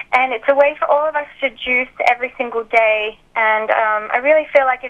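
This woman speaks in an Australian accent with fairly even intonation. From Australia (Alice Springs, outback). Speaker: diet author and founder. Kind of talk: interview.

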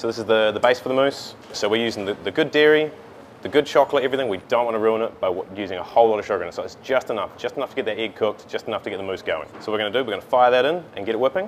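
A man talks at a very fast pace with ordinary pitch variation. Light background noise sits behind him. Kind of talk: tutorial. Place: cafe.

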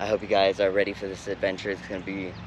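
Talking at a very fast pace, a man is heard in a dry sound with no echo as noticeable background noise runs underneath. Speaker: urban explorer vlogger. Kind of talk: casual vlog chat. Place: open country.

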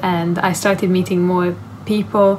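A woman with a Hungarian accent speaks at a moderate pace in a medium-pitched voice, monotone and flat, over light background noise. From Hungary. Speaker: university student. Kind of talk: interview answer. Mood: calm, friendly, reflective. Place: home room. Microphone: phone near.

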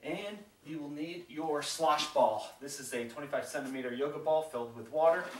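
Light background noise and audible room echo surround a man speaking at a fairly high pitch. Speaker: fitness instructor. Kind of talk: guided follow-along workout tutorial. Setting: home workout video, demonstrating exercises. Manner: upbeat, encouraging, coaching with countdown cues; casual, conversational, with fillers. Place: home room. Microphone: camera far.

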